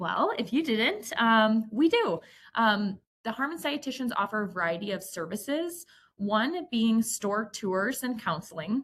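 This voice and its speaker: Speaking fairly slowly in a Midwestern accent, a woman with a fairly high pitch uses lively intonation on a very clean recording with a silent background. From US Midwest. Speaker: dietitian. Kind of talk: presentation.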